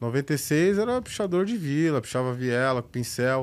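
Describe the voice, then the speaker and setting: Very cleanly recorded against a silent background, a man with an ordinary speaking voice talks at a fairly slow pace with lively intonation. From São Paulo, west zone periphery (Itapevi). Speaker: graffiti artist and filmmaker. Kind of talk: casual chat.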